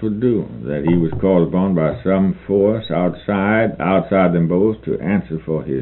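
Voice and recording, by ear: Someone is reading aloud in a natural voice. The pitch shows ordinary variation.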